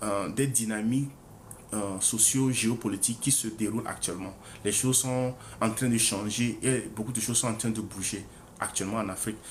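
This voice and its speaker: There is audible room echo as a man of medium pitch speaks at a moderate pace with fairly even intonation. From Togo. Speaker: author presenting his book. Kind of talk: book presentation livestream. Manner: hesitant, many fillers and repetitions.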